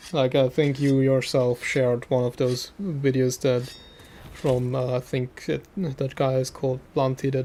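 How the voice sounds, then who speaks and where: A man's medium-pitched voice with a German accent, dark, mellow tone, monotone, flat intonation and fairly slow pace. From Austria. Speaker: gaming streamer. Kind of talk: casual live stream chat. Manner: hesitant, many fillers.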